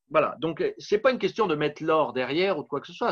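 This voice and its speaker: A man's lively intonation against a quiet background. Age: 50s. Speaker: political candidate and author. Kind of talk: interview. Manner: halting.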